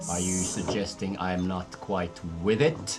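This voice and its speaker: Booming in a put-on character voice, a man speaks at a very deep, low pitch. His pace is fairly slow, over clear background noise. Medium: actual play. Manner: arrogant, theatrical.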